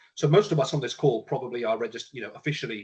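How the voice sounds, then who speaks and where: This man's fairly high-pitched voice has a somewhat breathy quality. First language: Punjabi. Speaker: panelist. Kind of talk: panel discussion. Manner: halting.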